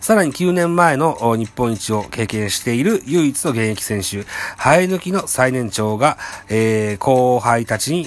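A man speaks at a medium pitch and a moderate pace. His pitch swings very widely against noticeable background noise. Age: middle-aged. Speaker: baseball podcast host. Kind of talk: reading news articles aloud; casual fan commentary.

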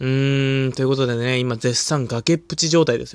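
A man at medium pitch and a moderate pace, with fairly even intonation, in a dry, close sound with no echo on a very clean recording with a silent background. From Hokkaido, Japan. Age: 20s. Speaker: comedian. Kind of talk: solo podcast monologue. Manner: frequent filler hesitations; calm.

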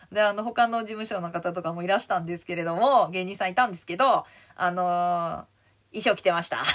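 A woman with a medium pitch speaks in an animated tone at a fairly quick pace, with ordinary pitch variation and big swings in loudness, in a very clean recording with a silent background. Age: 50s. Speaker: comedian. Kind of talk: casual chat.

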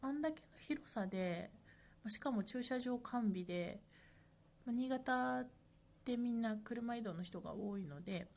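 This woman has a fairly high pitch and lively intonation. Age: 30s. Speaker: life design consultant. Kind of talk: solo podcast monologue. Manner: halting, with many fillers.

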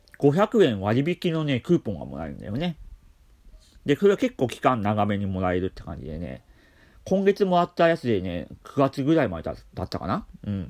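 The recording is very clean, and the background is silent. The speech moves at a moderate pace with very wide pitch swings. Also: man. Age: 40s. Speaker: care worker and podcaster. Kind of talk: solo talk. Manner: calm.

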